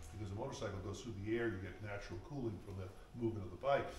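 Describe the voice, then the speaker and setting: Against light background noise and audible room echo, a man speaks with a fairly low pitch and ordinary pitch variation. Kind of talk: informal guided tour explanation.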